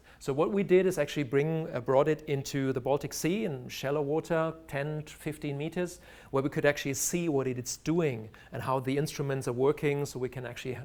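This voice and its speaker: On a very clean recording with a silent background, a man with a German accent speaks at a fairly quick pace in a fairly high voice. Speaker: marine biologist and research diver. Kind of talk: lecture. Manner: halting.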